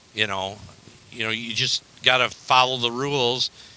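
With an American accent, a man talks at a moderate pace in a medium pitch with ordinary pitch variation, over noticeable background noise. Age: 60s. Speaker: hunter. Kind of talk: casual chat.

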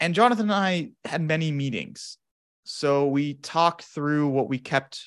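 A man with a General American accent has an ordinary speaking voice. He talks at a moderate pace with ordinary pitch variation. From US Southwest, Phoenix, Arizona. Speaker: sleep researcher, psychology graduate student. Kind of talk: interview, academic discussion.

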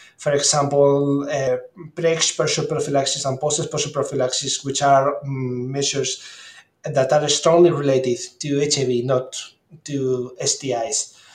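A man with a Spanish accent, fairly high in pitch, monotone and flat in intonation, at a fairly slow pace. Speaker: clinical microbiologist and health ministry official. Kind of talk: interview. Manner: halting.

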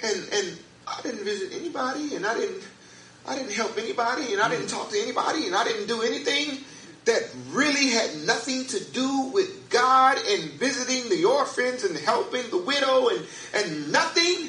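A man speaks at a moderate pace in a raised, projected voice with an animated tone, music playing in the background. His pitch is extremely high, with very wide swings. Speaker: pastor. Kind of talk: sermon. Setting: church. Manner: animated, fervent preaching with call-and-response.

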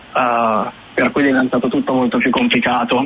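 A man's medium-pitched, monotone voice with flat intonation over noticeable background noise. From northern Italy, Milan. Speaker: web designer. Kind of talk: radio interview.

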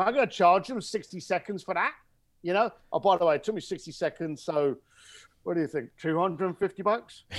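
An animated man with a London accent, high in pitch, at a fairly quick pace with ordinary pitch variation. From East London, England (Irish family). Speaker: luxury concierge business owner. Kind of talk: interview. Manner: animated storytelling.

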